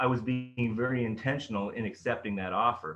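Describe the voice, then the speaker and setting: A man's medium-pitched voice at a fairly quick pace, with ordinary pitch variation and music in the background. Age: 50s. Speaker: storyteller, business consultant. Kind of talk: motivational talk. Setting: online rally.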